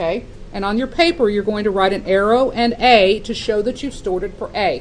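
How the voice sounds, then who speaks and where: With audible room echo and noticeable background noise, a woman speaks at a moderate pace with lively intonation. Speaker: math teacher. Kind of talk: classroom lecture.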